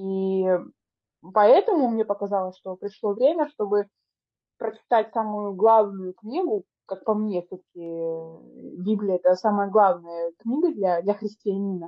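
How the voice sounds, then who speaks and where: A woman speaks at medium pitch with ordinary pitch variation. Her pace is very slow. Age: 30s. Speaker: podcast co-host. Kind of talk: casual chat.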